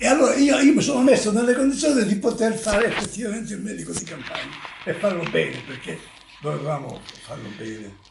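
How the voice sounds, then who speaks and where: Over noticeable background noise and audible room echo, a man speaks at a very fast pace in a high pitch, with very wide pitch swings and big swings in loudness. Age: 80s+. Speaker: retired country doctor. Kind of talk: interview. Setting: at home. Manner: halting.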